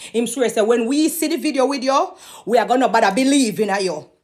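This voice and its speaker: A woman with a Jamaican accent on a very clean recording with a silent background. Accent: Jamaican Patois. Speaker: gossip commentator. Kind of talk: commentary monologue. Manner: fast when agitated; animated.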